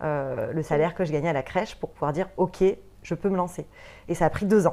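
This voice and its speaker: Fairly even intonation and a dark, mellow tone come through at a moderate pace. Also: woman. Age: 30s. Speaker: entrepreneur in interior decoration, former nursery director. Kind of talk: interview. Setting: studio.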